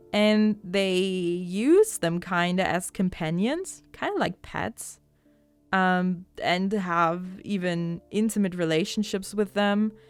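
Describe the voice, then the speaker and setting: A woman speaking very slowly with a non-native accent, medium pitch, fairly even intonation and music in the background. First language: not English. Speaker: podcast host. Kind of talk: casual podcast chat. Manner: hesitant, many fillers.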